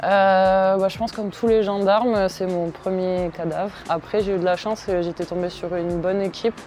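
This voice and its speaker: A woman speaks at a moderate pace with hardly any pauses. Her medium-pitched voice has monotone, flat intonation. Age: 20s. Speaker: gendarme. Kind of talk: interview testimony. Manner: hesitant, many fillers.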